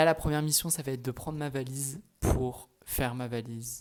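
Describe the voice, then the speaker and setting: A man speaks at a moderate pace in an unremarkable speaking voice with ordinary pitch variation. The recording is very clean, with a silent background. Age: 20s. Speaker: student vlogger. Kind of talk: casual vlog. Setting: at home in apartment.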